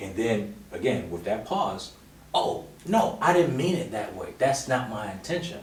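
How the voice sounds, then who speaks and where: Noticeable background noise and audible room echo surround a voice that moves at a fairly slow pace with very wide pitch swings. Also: man, medium pitch for a man. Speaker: married guest on couples podcast. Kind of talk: casual chat.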